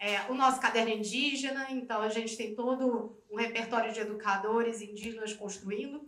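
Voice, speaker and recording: A woman's voice with audible room echo. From Rio de Janeiro, Brazil. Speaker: educator and project leader. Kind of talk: conference talk.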